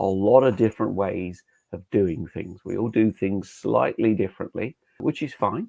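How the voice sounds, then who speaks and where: Speaking with a British accent, the man keeps a moderate pace. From UK. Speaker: safety engineering trainer. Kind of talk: webinar lecture. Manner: hesitant fillers.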